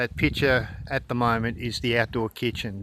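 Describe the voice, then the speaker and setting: This man has an Australian accent and a medium pitch. He talks at a moderate pace. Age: 60s. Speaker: off-grid homesteader and plumber. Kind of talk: casual video tour.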